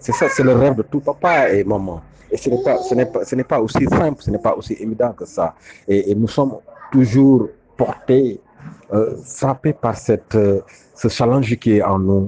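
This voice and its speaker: A man with a medium pitch and ordinary pitch variation speaks at a fairly slow pace, the sound dry and close with no echo but with noticeable background noise. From Senegal. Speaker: father giving testimony. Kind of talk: testimony.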